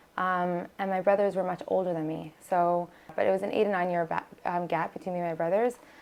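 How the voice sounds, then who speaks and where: Speaking very fast in a New York accent, a woman holds a medium pitch with fairly even intonation. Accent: New York American. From US, Brooklyn New York, Israeli home. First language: Hebrew. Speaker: singer and nurse practitioner. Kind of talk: interview.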